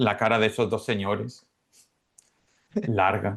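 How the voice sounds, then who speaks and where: With an Andalusian accent, a man talks at a fairly slow pace using fairly even intonation. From Málaga, Spain. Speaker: Spanish teacher, former telecom engineer. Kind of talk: podcast interview answer.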